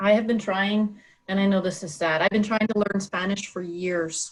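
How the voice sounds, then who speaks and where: A somewhat breathy woman's voice, fairly quick in pace. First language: French. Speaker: interviewer. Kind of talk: interview.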